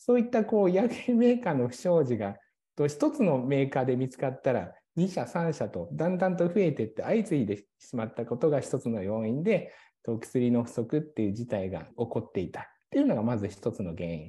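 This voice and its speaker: Against a quiet background, a man with a dark, mellow, somewhat breathy tone talks at a fairly quick pace, his pitch swinging very widely. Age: 30s. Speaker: pharmacist and pharmacy business owner. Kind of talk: policy proposal presentation. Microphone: video call.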